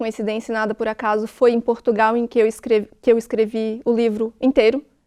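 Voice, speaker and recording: Dry and close with no echo, a woman's fairly high voice carries a dark, mellow tone at a moderate pace. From Santa Catarina, Brazil (Tubarão). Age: 40s. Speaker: writer. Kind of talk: TV interview.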